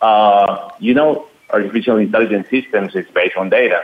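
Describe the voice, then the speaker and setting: A man speaks with a Spanish accent. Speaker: company CEO. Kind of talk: casual chat. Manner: halting.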